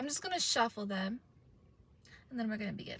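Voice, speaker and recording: A fairly high-pitched woman's voice over noticeable background noise. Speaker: tarot and oracle card reader. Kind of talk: oracle card reading. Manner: slow; casual, filler-heavy.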